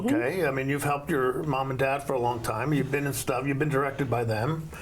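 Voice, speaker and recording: Over noticeable background noise and audible room echo, a man talks very fast at a fairly high pitch, with fairly even intonation and very even loudness. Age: 70s. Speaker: talk show host. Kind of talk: casual interview. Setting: TV studio.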